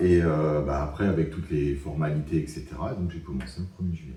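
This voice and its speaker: The voice has a dark, mellow tone with vocal fry. It moves at a moderate pace with ordinary pitch variation. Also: man. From Alsace, France. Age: 50s. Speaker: business consultant. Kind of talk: interview testimony. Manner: hesitant, many fillers.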